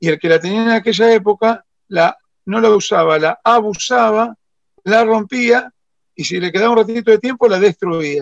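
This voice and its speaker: A man with a Rosario accent and a high pitch speaks at a moderate pace with ordinary pitch variation, the sound dry and close with no echo. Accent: Argentine Spanish (Rosario). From Argentina, Rosario. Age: 60s. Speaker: motorcycle restorer. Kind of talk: interview.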